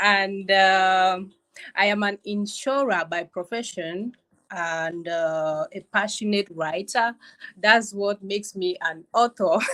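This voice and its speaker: A woman's very slow speech in a Cameroonian accent, bright and sharp in tone, with fairly even intonation. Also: medium pitch for a woman. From Cameroon, Southwest region. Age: young. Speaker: author and insurer. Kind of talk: interview.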